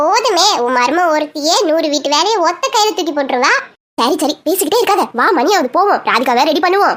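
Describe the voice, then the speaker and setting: A woman does a cartoonish character voice. Her pitch is extremely high. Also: moderate pace. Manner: lively, chatty.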